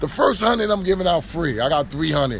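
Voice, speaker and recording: A man with an American accent talks at a moderate pace with ordinary pitch variation. Noticeable background noise runs underneath. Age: 30s. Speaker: rapper. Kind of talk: casual interview. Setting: live event venue.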